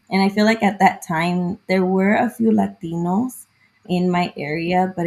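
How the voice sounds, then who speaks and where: A woman's fairly low, somewhat breathy voice with ordinary pitch variation. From southern California, early childhood in Mexico. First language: Spanish. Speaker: therapist. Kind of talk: casual interview.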